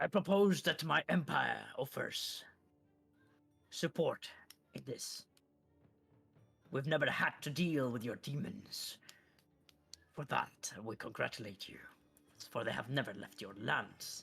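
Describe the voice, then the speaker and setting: Using a put-on character voice, a raspy man at medium pitch speaks at a fairly slow pace with long, frequent pauses, very wide pitch swings and big jumps in loudness, while faint music plays in the background. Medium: actual play. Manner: formal, measured.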